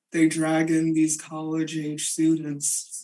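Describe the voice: A put-on character voice sounds robotic at a middle pitch. It moves at a fairly slow pace.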